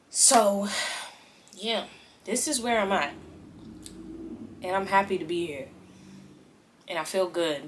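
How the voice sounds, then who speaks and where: A woman's medium-pitched voice at a fairly slow pace, with lively intonation, long and frequent pauses, and noticeable background noise. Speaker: lifestyle vlogger. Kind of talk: casual vlog testimony. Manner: loud.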